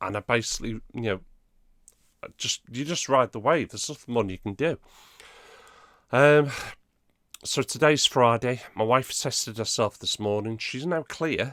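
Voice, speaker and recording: In a very clean recording with a silent background, a man with an English accent speaks at a medium pitch and moderate pace, with ordinary pitch variation and long, frequent pauses. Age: middle-aged. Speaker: gaming YouTuber. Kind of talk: casual vlog.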